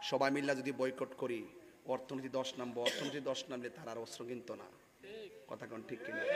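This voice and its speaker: A man's medium-pitched, monotone, flat delivery over noticeable background noise. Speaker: Islamic preacher giving a public sermon. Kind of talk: public religious sermon / rally speech. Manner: rousing, call-and-response.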